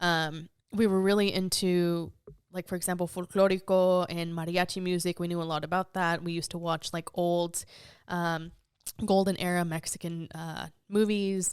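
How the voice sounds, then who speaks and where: A woman's fairly low, monotone voice with flat intonation at a moderate pace, in a very clean recording with a silent background. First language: Spanish. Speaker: podcast guest. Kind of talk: casual interview chat. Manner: casual with many fillers.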